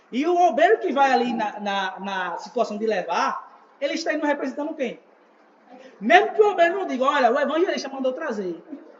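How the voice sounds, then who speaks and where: Over noticeable background noise, a man talks fairly quickly at an extremely high pitch with very wide pitch swings. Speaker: evangelist teaching a church class. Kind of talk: church teaching class.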